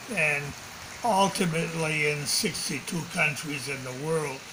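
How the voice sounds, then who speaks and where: A man speaks with ordinary pitch variation, noticeable background noise present throughout. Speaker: sports academy founding president. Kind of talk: interview answer. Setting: home.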